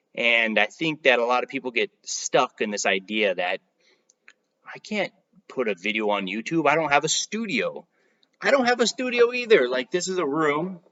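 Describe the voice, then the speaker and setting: Mumbling at a moderate pace, with very wide pitch swings. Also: man, fairly high pitch for a man. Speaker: real estate marketing youtuber. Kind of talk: casual vlog talk to camera. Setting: home playroom, recording at night. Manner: rambling, self-described mumbling.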